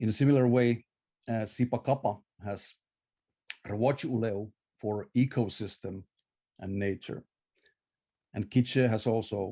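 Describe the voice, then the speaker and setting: Talking at a fairly slow pace in a Finnish accent, a man has a fairly low pitch and a dark, mellow tone. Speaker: scholar of Maya languages. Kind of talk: conference lecture. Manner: halting, many filler uhs.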